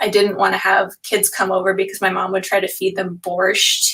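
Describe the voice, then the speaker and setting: A woman's medium-pitched voice with an American accent. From upstate New York, US (born in Moscow, moved at five). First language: Russian. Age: 30s. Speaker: author illustrator. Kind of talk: virtual author talk. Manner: hesitant, many fillers.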